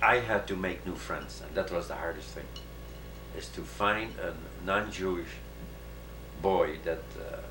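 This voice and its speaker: A man's very deep, low voice at a fairly slow pace, with long, frequent pauses, big swings in loudness and very wide pitch swings, plus audible room echo and noticeable background noise. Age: 60s. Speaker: Holocaust survivor. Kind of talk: interview. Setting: at home. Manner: halting.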